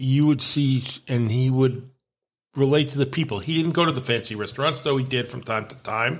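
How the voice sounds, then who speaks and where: Somewhat breathy, a man talks at a moderate pace in a medium pitch with fairly even intonation. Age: 60s. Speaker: podcast co-host. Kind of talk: casual chat.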